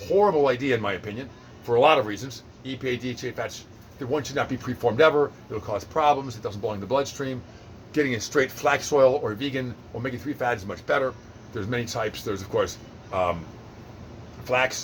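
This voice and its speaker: At a very fast pace, a man speaks at medium pitch with ordinary pitch variation and big swings in loudness. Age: 50s. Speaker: personal trainer. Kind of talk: lecture. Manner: animated.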